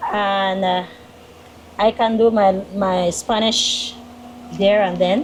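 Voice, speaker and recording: A woman speaks very slowly in a flat monotone, with long, frequent pauses, audible room echo and noticeable background noise. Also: medium pitch for a woman. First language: Q'eqchi' (Kekchi). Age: 30s. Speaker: teacher. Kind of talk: interview. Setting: parish church.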